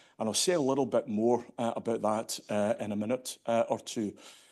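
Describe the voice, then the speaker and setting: A man speaks with a Scottish accent and fairly even intonation. His pace is moderate, and the background is quiet. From Scotland, Glasgow. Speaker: standards industry leader. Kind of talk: conference keynote speech. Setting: stage with audience.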